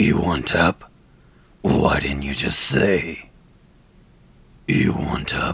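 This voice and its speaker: Very slow and gravelly, a man puts on a character voice pitched very deep and low. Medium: tutorial demo.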